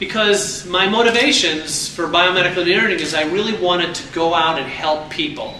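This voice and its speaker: A man with an American accent, high-pitched for a man, talking at a fairly quick pace with hardly any pauses and ordinary pitch variation, amid noticeable background noise and audible room echo. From New York City region. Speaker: entrepreneur and alumni speaker. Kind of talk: speech. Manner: animated.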